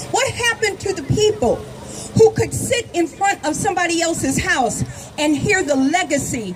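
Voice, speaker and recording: Very wide pitch swings at a moderate pace, with noticeable background noise. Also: woman. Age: 60s. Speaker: activist speaker. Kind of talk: rally speech. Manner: impassioned, rhetorical repetition.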